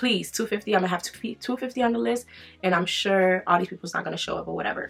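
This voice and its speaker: A woman's very fast speech with lively intonation. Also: medium pitch for a woman. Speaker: beauty vlogger. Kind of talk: casual chat while doing makeup.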